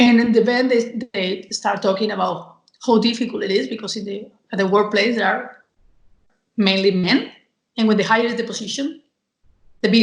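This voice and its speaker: Somewhat breathy and at a medium pitch, a woman speaks at a fairly quick pace with ordinary pitch variation and long, frequent pauses. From Spain. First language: Spanish. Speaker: communication and marketing professional. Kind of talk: interview. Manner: energetic.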